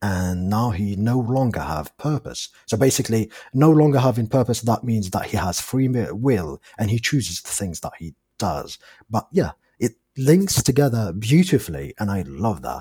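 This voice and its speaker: Dark and mellow in tone, a man's somewhat breathy medium-pitched voice makes very wide pitch swings at a moderate pace, recorded dry and close with no echo. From Algeria. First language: not English; English is his fourth language. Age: 30s. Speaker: movie fan guest. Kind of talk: casual chat. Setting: international call. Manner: animated.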